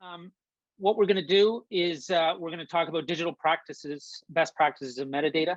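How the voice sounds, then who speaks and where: A man with a Canadian accent speaks at a moderate pace in a fairly high pitch, his intonation lively. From Canada. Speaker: music tech company founder. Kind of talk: webinar presentation. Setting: video call.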